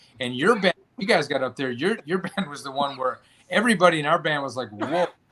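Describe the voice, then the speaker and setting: The speaker has an unremarkable speaking voice and lively intonation. The pace is fairly quick. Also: man. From Chicago. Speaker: podcast host and band musician. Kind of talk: casual interview chat. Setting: live podcast.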